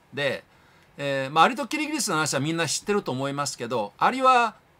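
A man speaks in a bright, sharp tone. His pitch swings very widely. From Japan. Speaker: YouTube channel host. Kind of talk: lecture-style monologue. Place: home room. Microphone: phone near.

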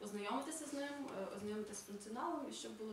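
The room echo is audible. There is light background noise. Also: woman. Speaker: project coordinator. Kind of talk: project presentation. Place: hall.

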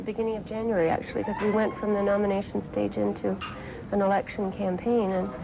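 A woman at a fairly quick pace, fairly even in intonation, against noticeable background noise. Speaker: election candidate. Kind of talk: interview answer. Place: cafe.

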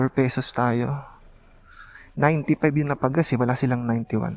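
Fairly high in pitch, a man talks at a very slow pace. His intonation is fairly even, and the background is quiet. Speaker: motorcycle vlogger. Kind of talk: ride vlog narration. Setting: riding a motorcycle outdoors.

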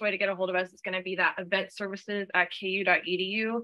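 A woman with an American accent, medium pitch, and monotone, flat intonation. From Texas. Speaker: catering and event services staff. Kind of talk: training presentation. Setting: room with live audience, also streamed online.

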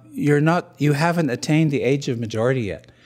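Faint music plays in the background as a man speaks with a Canadian accent. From British Columbia, Canada. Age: 60s. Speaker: First Nation chief and author, speaker. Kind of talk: public speech at event. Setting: stage with audience, webcast. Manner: formal, hesitant with filler words. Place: hall. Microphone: studio mic.

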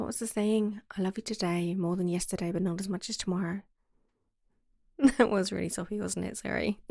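Soft-spoken and with fairly even intonation, a woman talks at a fairly quick pace and medium pitch, with long, frequent pauses, in a dry sound with no echo over a quiet background. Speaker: ASMR roleplay creator. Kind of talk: ASMR girlfriend roleplay. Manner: soft-spoken, affectionate.

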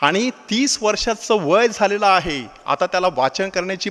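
Ordinary pitch variation runs through the man's high-pitched speech. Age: 50s. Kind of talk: sermon.

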